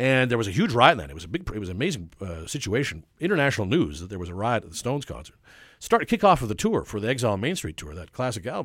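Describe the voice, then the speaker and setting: A man at a medium pitch, talking very fast, with vocal fry, very wide pitch swings and big swings in loudness, on a very clean recording with a silent background. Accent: Canadian. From Vancouver, Canada. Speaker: author and historian. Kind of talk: casual interview.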